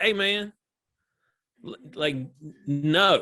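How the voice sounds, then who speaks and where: A man with a Southern US accent talks very slowly. His voice is high, with ordinary pitch variation. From US South, small-town Georgia. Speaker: comedian. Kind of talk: casual chat.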